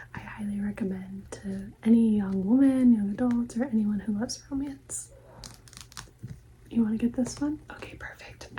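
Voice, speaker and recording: Soft-spoken, a woman talks at a moderate pace. Her pitch is fairly high, with ordinary pitch variation. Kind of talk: ASMR librarian roleplay, book recommendations.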